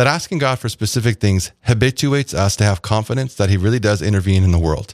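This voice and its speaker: With a warm tone and lively intonation, a man talks at a very fast pace in a dry, close recording that has no echo. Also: very clean recording, silent background. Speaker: radio host. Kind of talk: radio show conversation. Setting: radio studio. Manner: warm, friendly, conversational.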